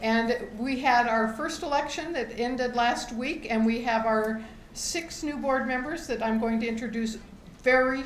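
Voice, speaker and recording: Audible room echo surrounds a woman speaking at a moderate pace in a high voice with ordinary pitch variation. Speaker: co-op founder addressing members. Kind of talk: meeting speech. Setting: meeting hall with audience.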